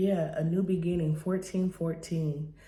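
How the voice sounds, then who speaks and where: Quiet and somewhat breathy, a woman speaks fairly slowly in a very deep, low, dark and mellow voice with monotone, flat intonation and audible room echo. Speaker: tarot card reader. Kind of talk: tarot reading monologue. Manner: quiet, keeping voice down; hesitant, many fillers.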